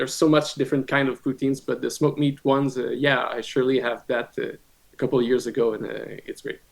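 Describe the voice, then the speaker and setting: In a French-Canadian accent, a man talks at a very fast pace. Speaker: rock band guitarist and vocalist. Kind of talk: casual podcast interview. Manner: halting, many fillers and repeats.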